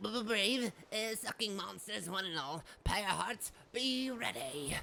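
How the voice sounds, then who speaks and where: Put-on character voice from a woman, nasal, medium pitch, fairly slow pace. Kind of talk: formal, archaic.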